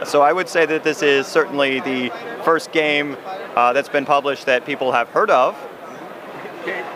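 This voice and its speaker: Over noticeable background noise, a man with a fairly high-pitched voice talks at a moderate pace, his intonation fairly even and broken by long, frequent pauses. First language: English (speaking German). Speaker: board game designer. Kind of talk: interview. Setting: trade fair booth. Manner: halting.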